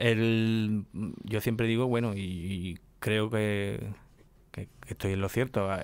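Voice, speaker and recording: A man's fairly low, monotone, flat voice at a very slow pace, with long, frequent pauses and a dry sound with no echo. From El Puerto de Santa María, Andalusia, Spain; Andalusia, Spain. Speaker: radio host of a flamenco programme. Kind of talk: radio interview. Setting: radio studio, filmed. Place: studio. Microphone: studio mic.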